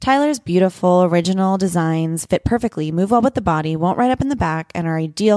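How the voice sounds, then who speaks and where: A woman has an ordinary speaking voice at a fairly low pitch. The sound is dry and close with no echo, and the recording is very clean with a silent background. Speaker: podcast host, former ballet dancer. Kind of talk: live interview. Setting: stage with audience.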